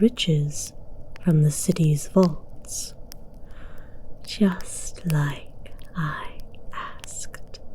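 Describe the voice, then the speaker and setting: A woman in a put-on character voice. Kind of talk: ASMR audio roleplay. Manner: commanding, slow.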